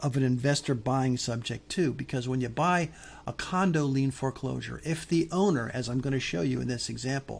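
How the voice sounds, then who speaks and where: A man's fairly high-pitched, somewhat breathy voice at a moderate pace, with ordinary pitch variation, in a very clean recording with a silent background. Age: old. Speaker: real estate investing teacher. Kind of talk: tutorial. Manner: halting.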